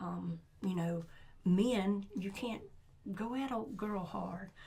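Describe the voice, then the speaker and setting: A woman of medium pitch talks at a very slow pace with ordinary pitch variation. Her somewhat breathy voice has a dark, mellow tone amid audible room echo. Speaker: school sports coach. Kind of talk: casual chat.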